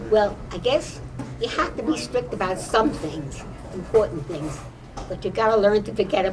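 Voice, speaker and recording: A woman's medium-pitched voice with very wide pitch swings at a moderate pace, amid noticeable background noise. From New York. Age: 80s+. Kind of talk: interview answer. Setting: quiet corner of a restaurant.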